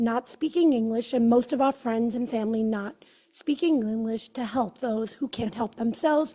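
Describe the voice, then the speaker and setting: A woman with a Brooklyn accent and a fairly high-pitched voice of dark, mellow tone. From Brooklyn, New York. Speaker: judicial candidate, attorney. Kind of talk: campaign speech.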